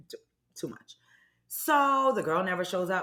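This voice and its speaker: A woman with a strong New York accent, a bright, sharp tone, fairly low pitch and lively intonation. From New York City (Harlem), US. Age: 30s. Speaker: branding and marketing professional. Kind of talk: casual chat.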